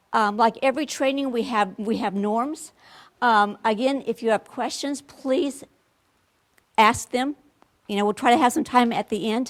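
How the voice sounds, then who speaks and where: A woman speaks at a moderate pace. Her voice sits high in pitch. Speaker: education trainer. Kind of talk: workshop presentation.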